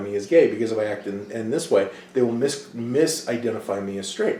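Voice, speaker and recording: In a room with audible echo, a man speaks in an animated tone with a medium pitch and ordinary pitch variation. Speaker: college instructor. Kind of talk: lecture. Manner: animated, speaks with hands.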